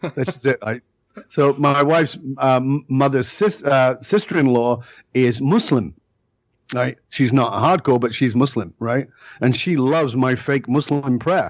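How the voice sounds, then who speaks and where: Speaking fairly slowly with a British accent, a man lets his pitch vary in an ordinary way. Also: medium pitch for a man. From northern England. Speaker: leadership speaker. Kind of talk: podcast interview. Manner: animated.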